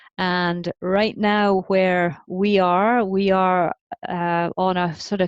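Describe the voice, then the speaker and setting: In a Scottish accent, a woman speaks with monotone, flat intonation and a dry, close sound with no echo. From Scotland. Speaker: parenting author. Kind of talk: podcast interview. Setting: remote call.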